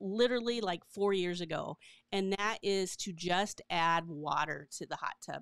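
In a dry, close sound with no echo, a woman speaks at a fairly slow pace and medium pitch, her tone clear and smooth, her pitch variation ordinary.

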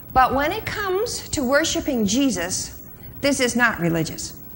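A woman's high voice with very wide pitch swings over light background noise. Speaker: conference speaker. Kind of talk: lecture. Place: hall. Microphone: lapel.

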